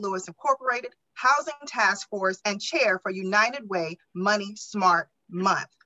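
A woman speaks at a fairly slow pace. Her intonation is lively. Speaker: webinar moderator. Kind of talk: moderating a webinar. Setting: video call. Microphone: video call.

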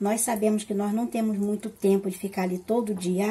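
The voice has a warm, dark, mellow tone, is somewhat breathy, and keeps a fairly even intonation. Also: woman. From Rio de Janeiro, Brazil. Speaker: cooking channel host. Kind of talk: cooking tutorial. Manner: warm, affectionate. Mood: warm, friendly. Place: kitchen. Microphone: phone near.

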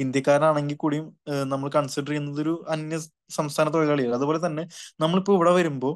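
A man talks with a fairly high pitch and a monotone, flat intonation. The background is quiet. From Kerala. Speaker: education consultant. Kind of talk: webinar Q&A. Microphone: video call.

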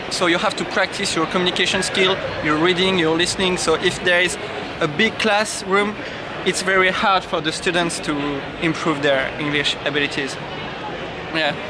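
A man with a French accent speaks with long, frequent pauses over loud background noise, the sound dry with no echo. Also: moderate pace. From France. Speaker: English learner. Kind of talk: interview. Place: street. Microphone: phone near.

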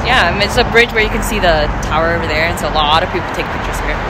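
A woman speaks with a dry sound and no echo over loud background noise. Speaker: vlogger. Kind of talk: casual vlog chat. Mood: cheerful, playful. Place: street. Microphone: phone near.

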